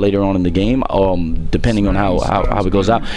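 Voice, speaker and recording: Speaking fairly quickly, the man is heard with audible echo from the room. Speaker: esports coach. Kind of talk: tutorial. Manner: fast.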